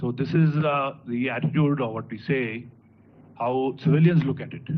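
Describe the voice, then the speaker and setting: A man at a moderate pace, ordinary pitch variation, audible room echo around him. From Punjab, India. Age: 50s. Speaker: high court judge. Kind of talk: ceremonial speech. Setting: auditorium conference. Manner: halting, frequent filler 'uh'.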